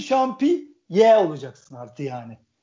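His pitch high for a man, this speaker's voice swings very widely up and down. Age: 40s. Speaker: football fan commentator. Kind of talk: casual football talk. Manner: animated.

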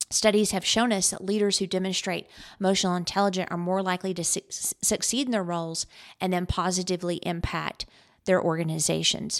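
Fairly quick and fairly even in intonation, a woman's unremarkable speaking voice sits at a medium pitch on a very clean recording with a silent background. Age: 50s. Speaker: podcast host and business coach. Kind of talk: solo podcast monologue.

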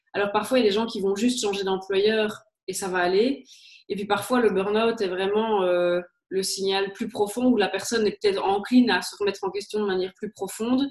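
A woman speaks in a Liège accent at a fairly quick pace. Her medium-pitched voice keeps fairly even intonation. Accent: Liège Belgian French. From Belgium, Liège. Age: 30s. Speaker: HR consultant and career coach. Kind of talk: interview.

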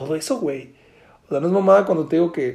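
In a Mexican accent, a man speaks in an animated tone at a fairly high pitch with ordinary pitch variation. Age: 20s. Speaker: podcast host. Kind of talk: casual monologue.

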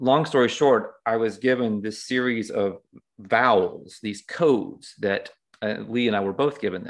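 A man's medium-pitched, normal speaking voice at a fairly slow pace, with ordinary pitch variation and a quiet background. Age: 50s. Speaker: author and healer. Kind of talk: casual chat.

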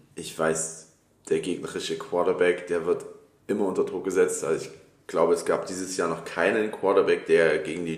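His voice carries audible room echo. The man keeps a moderate pace. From Dresden, Saxony, Germany. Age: 30s. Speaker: podcast co-host, American football player. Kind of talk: casual chat.

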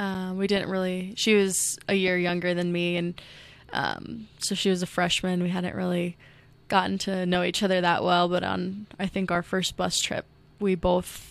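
A woman with a Midwestern American accent and monotone, flat intonation, on a very clean recording over a silent background. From Iowa (Ames). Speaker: basketball coach. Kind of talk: interview.

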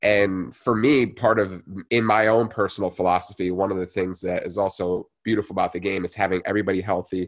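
Against a quiet background, a man with an American accent has a normal speaking voice, fairly low in pitch, with fairly even intonation. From New Jersey. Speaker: physical therapy student and strength coach. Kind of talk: interview.

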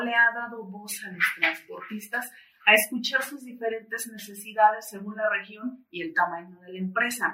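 Using a normal speaking voice, a woman talks fairly slowly, her fairly high pitch showing ordinary variation. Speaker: journalist interviewer. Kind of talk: interview. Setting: studio.

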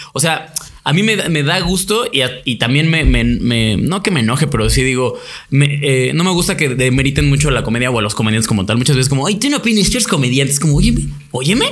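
Over noticeable background noise and audible room echo, a man talks at a fairly high pitch and a fairly quick pace, with lively intonation and very even loudness. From Mexico, Toluca. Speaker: comedian. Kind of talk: casual chat.

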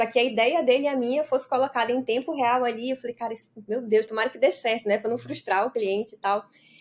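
A woman talks in a high voice. Her pitch moves up and down by an ordinary amount. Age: 40s. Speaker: business mentor. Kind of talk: casual interview.

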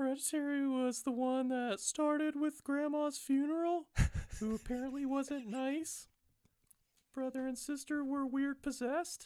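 This is a man doing a put-on character voice. His pitch sits extremely high. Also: moderate pace. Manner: mom voice, relaying a text.

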